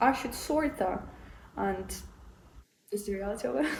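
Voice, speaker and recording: A woman's voice with audible room echo. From Ukraine. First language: Ukrainian. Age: 20s. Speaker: piano player and vlogger. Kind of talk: casual vlog talk to camera. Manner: halting, with restarts.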